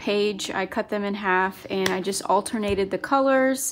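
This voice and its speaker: Against noticeable background noise, a woman talks at a fairly slow pace in a medium pitch. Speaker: planner hobby youtuber. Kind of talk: crafting tutorial, casual talk to viewers. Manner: loud, may seem shouting.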